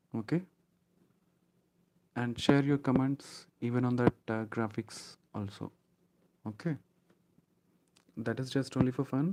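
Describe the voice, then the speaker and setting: A man speaks at a fairly slow pace, leaving long, frequent pauses. His medium-pitched voice has a dark, mellow tone and ordinary pitch variation. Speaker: online IT trainer. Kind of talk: live online class. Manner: hesitant, many fillers.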